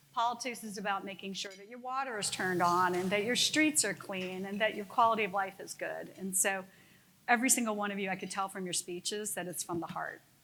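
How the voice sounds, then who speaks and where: A woman with an American accent talks very fast in a bright, sharp tone, her medium pitch moving with ordinary variation. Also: big swings in loudness. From US South, Middle Georgia (Eastman). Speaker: company CEO and former politician. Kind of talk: luncheon keynote speech. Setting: luncheon event with live audience. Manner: folksy, conversational.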